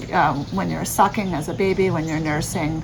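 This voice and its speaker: A woman's very deep, low voice with lively intonation at a moderate pace, over noticeable background noise. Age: 40s. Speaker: vlogger. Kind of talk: personal vlog explanation. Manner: halting, many fillers.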